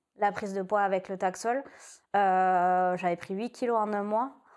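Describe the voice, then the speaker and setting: A woman's ordinary speaking voice at a moderate pace with ordinary pitch variation, on a very clean recording with a silent background. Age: 30s. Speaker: breast cancer patient. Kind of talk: testimony.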